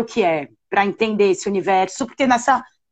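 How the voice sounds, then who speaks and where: A woman's ordinary speaking voice with lively intonation. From Brazil, São Paulo. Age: 40s. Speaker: cultural producer. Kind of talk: live-stream interview.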